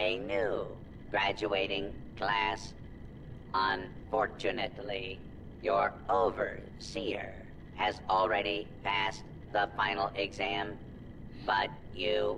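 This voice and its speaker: Loud background noise surrounds a man doing a put-on character voice. He speaks at a very slow pace. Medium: video game. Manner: stiff, officious, formal.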